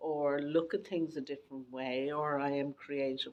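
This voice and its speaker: Someone with an Irish accent talks at a moderate pace. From West of Ireland. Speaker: dyslexia awareness podcaster. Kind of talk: interview.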